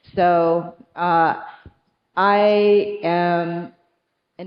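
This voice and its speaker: Her voice fairly low, a woman speaks with fairly even intonation. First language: not English. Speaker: tech executive. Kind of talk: panel discussion.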